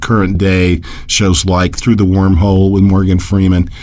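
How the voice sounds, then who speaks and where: A man speaks at a fairly low pitch and fairly slow pace. There is noticeable background noise and audible room echo. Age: 60s. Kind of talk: radio interview. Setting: radio broadcast.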